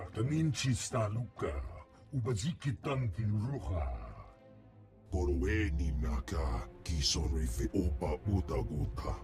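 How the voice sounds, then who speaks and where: A man performs a put-on character voice with a very deep, low pitch and very wide pitch swings, at a fairly slow pace. Clear music plays in the background. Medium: video game. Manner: speaks only alien gibberish language.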